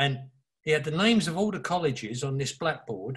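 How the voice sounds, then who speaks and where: This man speaks in an East London accent at a fairly quick pace. His intonation is lively. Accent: East London (cockney). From East London, England. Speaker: author and advertising creative. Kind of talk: interview.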